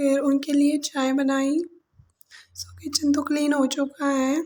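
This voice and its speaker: Speaking at a very slow pace, a woman has a high pitch. Her intonation is monotone and flat. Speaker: vlogger. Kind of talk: vlog narration. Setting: home kitchen.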